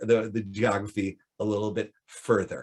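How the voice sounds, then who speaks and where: A man with an American accent, at a fairly slow pace. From United States. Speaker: professor. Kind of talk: lecture. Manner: halting, with repetitions and fillers.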